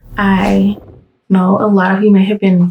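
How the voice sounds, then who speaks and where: Whispering quietly at a fairly slow pace, a woman sounds somewhat breathy in a dry, close recording with no echo. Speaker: hairstylist and salon owner. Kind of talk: casual vlog update. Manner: quiet, near whispering; hesitant, many fillers.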